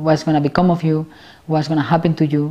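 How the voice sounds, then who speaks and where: In a Spanish accent, a woman speaks with a very deep, low pitch and monotone, flat intonation. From Spain. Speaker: film director and actress. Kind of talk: interview. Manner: halting.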